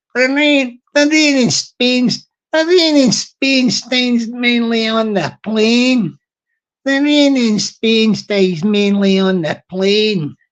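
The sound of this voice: A woman does a put-on character voice in a Glaswegian accent, pitched fairly high and spoken at a very slow pace. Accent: broad Glaswegian Scottish.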